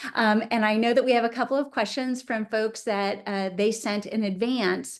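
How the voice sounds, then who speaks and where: A woman with an ordinary speaking voice at fairly high pitch, moderate pace and fairly even intonation, over a quiet background. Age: 50s. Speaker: webinar host, attorney. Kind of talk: interview. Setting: video call.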